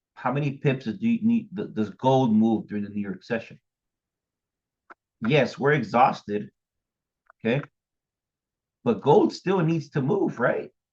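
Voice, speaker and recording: Somewhat breathy, a man speaks at a fairly slow pace with long, frequent pauses and very wide pitch swings. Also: medium pitch for a man. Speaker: trading educator. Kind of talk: tutorial. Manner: halting.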